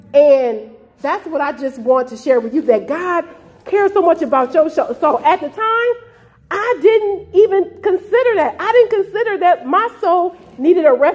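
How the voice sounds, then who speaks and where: Noticeable background noise accompanies talk at a moderate pace. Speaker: testimony giver. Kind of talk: testimony. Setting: homeless shelter.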